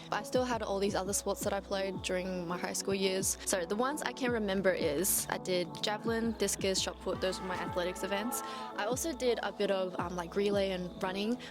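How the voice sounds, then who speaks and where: A woman with an Australian accent at a medium pitch, fairly quick with hardly any pauses and ordinary pitch variation, over music in the background. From Melbourne, Australia (born in China, moved at seven). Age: 20s. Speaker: vlogger. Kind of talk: casual talk to camera.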